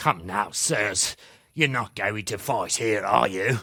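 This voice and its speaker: A man puts on a raspy character voice at a fairly low pitch, talking fairly slowly in a very clean recording with a silent background. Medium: video game.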